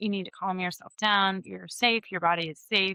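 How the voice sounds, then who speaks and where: This woman has a medium pitch. Her pitch varies in an ordinary way. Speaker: podcast host and hairstylist. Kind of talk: podcast interview. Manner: slowing speech.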